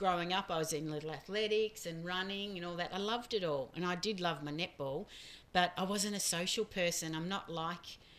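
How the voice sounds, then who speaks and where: In an Australian accent, a woman talks at a fairly quick pace. Her pitch is fairly low and her intonation fairly even. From Australia, small town. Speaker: podcast host's mother. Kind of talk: casual chat.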